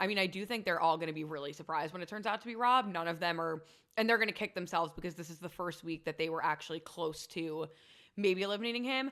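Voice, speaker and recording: A loud woman's voice at medium pitch, bright and sharp in tone, animated, very fast, with ordinary pitch variation. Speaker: podcast co-host. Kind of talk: casual chat.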